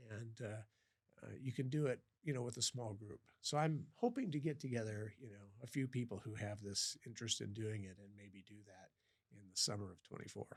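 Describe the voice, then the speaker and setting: In an American accent, a man of medium pitch talks at a fairly quick pace, somewhat breathy, with ordinary pitch variation and big swings in loudness. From US Midwest (western Iowa, Sioux City). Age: 60s. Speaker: professor and endurance swimmer. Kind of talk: podcast interview. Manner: halting, many fillers and repeats.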